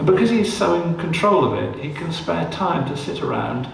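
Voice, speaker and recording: Over noticeable background noise and audible room echo, a man with a southern English accent talks at a moderate pace. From southern England. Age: 70s. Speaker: documentary photographer. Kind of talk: public on-stage interview. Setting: event in a mill with audience. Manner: animated storytelling.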